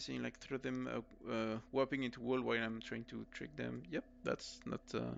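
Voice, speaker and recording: Speaking with a French accent, a man keeps a fairly slow pace. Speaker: esports caster. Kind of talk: live commentary. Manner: halting.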